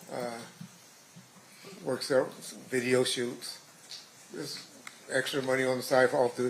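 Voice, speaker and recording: Through noticeable background noise and audible room echo, a man with an American accent speaks in a monotone, flat way with long, frequent pauses. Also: medium pitch for a man, moderate pace. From Compton, California (US West Coast). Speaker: trial witness, retired police officer. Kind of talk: court testimony. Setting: courtroom. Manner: halting.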